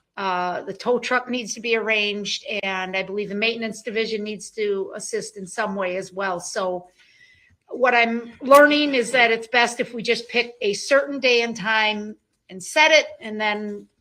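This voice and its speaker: A woman speaks with a bright, sharp tone at a fairly high pitch and a moderate pace. Her loudness swings widely while her pitch varies in an ordinary way. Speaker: prosecutor. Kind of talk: courtroom proceedings. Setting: courtroom.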